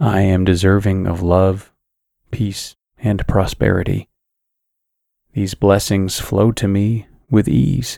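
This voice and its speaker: In a soothing, calm, dark and mellow tone, a man speaks very slowly at a fairly low pitch with ordinary pitch variation and long, frequent pauses. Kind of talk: guided sleep meditation with affirmations. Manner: slow, soothing, calm and gentle.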